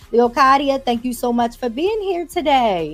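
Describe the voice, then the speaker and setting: Over music in the background, a woman with a Baltimore accent speaks high and animated at a moderate pace, her pitch swinging very widely. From Baltimore, US. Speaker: podcast host. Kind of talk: casual interview.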